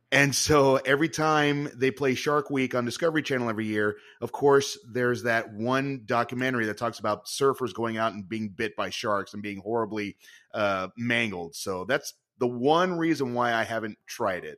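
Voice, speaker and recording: With a plain, everyday voice, the speaker keeps a moderate pace and ordinary pitch variation on a very clean recording with a silent background. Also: man, medium pitch for a man. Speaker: podcast host, improv performer and magician. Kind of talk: casual interview conversation.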